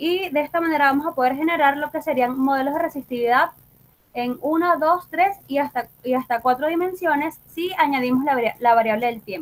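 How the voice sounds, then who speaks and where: A woman speaks at a fairly quick pace. Her voice is high in pitch. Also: ordinary pitch variation. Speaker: geophysicist lecturer. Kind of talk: lecture. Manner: fast.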